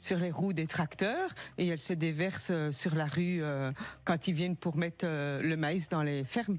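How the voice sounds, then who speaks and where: A woman with a slight Belgian accent, fairly low in pitch, at a fairly slow pace and very even loudness. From Belgium. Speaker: caller with insurance dispute. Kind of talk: phone-in testimony.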